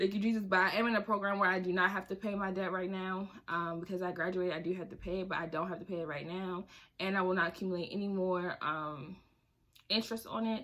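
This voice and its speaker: Fairly even intonation marks this woman's very fast delivery. Her tone is bright and sharp. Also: medium pitch for a woman. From Baltimore, Maryland. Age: 20s. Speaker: personal finance vlogger. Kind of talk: casual vlog talk.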